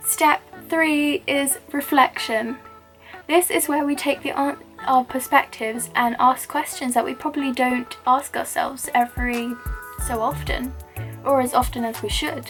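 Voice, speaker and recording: The speaker is soft-spoken, with lively intonation at a fairly slow pace. Music plays in the background. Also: woman, high pitch for a woman. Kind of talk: hijab tutorial with motivational talk to camera. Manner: quiet, soft-spoken.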